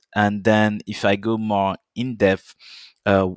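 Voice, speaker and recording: The speech has a slight French accent and monotone, flat intonation, recorded very cleanly with a silent background and a dry, close sound with no echo. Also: man. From French Caribbean island (Guadeloupe). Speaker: software company account manager. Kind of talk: podcast interview. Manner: halting, many fillers.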